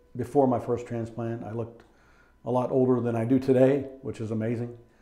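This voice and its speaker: A man talks at a moderate pace in a monotone with flat intonation. Audible room echo fills the space. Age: 60s. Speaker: patient. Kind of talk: testimony. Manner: hesitant. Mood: grateful, calm. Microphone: lapel.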